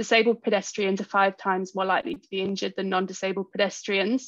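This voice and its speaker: A woman at medium pitch, fairly quick pace, monotone and flat intonation, dry, close sound with no echo, quiet background. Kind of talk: conference presentation. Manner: fast.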